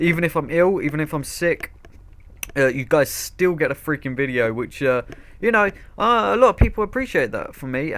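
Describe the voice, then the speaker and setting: A man with a British accent, fairly high in pitch, at a fairly quick pace, with very wide pitch swings. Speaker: video creator. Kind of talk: casual. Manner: hyper, energetic.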